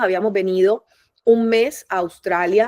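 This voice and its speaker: A woman's fairly high, animated voice in a Caribbean Colombian accent, at a fairly slow pace. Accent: Colombian Caribbean coastal (costeño). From Colombia, Barranquilla (Caribbean coast). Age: 40s. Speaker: migrant mother, human resources professional. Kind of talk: interview testimony. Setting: video call. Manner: talkative, animated.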